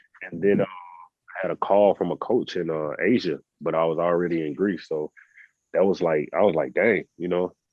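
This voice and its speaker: A man with a very deep, low pitch and a Southern US accent talks at a moderate pace in a relaxed tone with fairly even intonation. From US South. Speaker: professional basketball player. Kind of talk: podcast interview. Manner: casual, relaxed.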